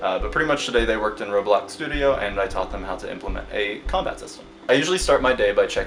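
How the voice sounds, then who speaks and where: A man at a very fast pace with hardly any pauses, big swings in loudness, and music in the background. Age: 20s. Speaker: indie game developer. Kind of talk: casual vlog narration. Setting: at home.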